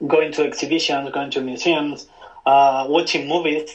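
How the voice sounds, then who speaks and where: A man with a Spanish accent and fairly even intonation. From Spain. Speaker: photographer. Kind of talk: casual chat.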